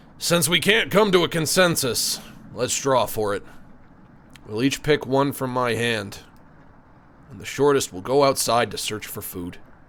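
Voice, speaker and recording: A man's raspy, put-on character voice at medium pitch, with lively intonation, a moderate pace, big swings in loudness, and long, frequent pauses. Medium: game stream.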